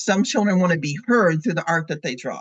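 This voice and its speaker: A somewhat breathy voice with an American accent, lively intonation and a fairly quick pace over a quiet background. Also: woman. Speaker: education lecturer. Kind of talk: lecture. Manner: fast; animated.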